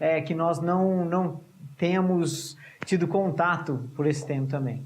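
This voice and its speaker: Audible room echo surrounds a man speaking at a fairly slow pace in a high pitch. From Brazil. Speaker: missionary preacher. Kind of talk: sermon. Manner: halting, repeats words.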